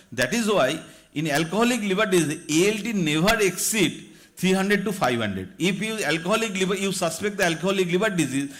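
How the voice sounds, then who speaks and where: A man's high-pitched voice at a very fast pace, ordinary pitch variation, audible room echo. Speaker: doctor lecturing at medical conference. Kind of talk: lecture.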